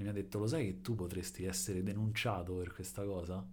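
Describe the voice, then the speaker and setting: In a room with audible echo, a man speaks at a fairly low pitch in a somewhat breathy voice with ordinary pitch variation. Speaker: podcast co-host. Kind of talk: casual chat. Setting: home in an apartment building.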